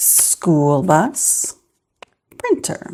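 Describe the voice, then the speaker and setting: Soft-spoken, a woman talks in a dark, mellow tone at a fairly low pitch. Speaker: budgeting vlogger, mom. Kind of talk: casual vlog monologue. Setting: at home early morning. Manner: soft-spoken, talking quietly.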